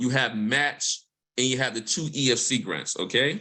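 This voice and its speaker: A man's bright, sharp tone with lively intonation, in an American accent. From Mississippi. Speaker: environmental justice researcher. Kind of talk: panel discussion. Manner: fast.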